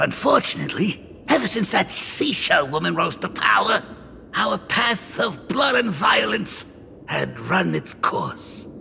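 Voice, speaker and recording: A man speaks in a put-on character voice at a fairly slow pace. Clear background noise runs behind him. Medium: video game. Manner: chuckling, folksy, hesitant fillers.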